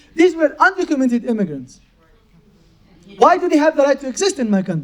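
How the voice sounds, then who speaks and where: A man with a Palestinian accent talks at a fairly quick pace in an extremely high pitch, his tone animated and his intonation lively. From Gaza, Palestine. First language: Arabic. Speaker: poet. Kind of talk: Q&A at book event.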